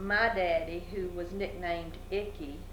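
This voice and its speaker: Speaking very slowly, a woman has a medium pitch and an Alabama accent. Audible room echo and noticeable background noise surround her voice. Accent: southern US (Alabama). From US South, Alabama (Fairhope). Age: 60s. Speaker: local business owner, oral history interviewee. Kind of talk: oral history interview. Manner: halting, many fillers.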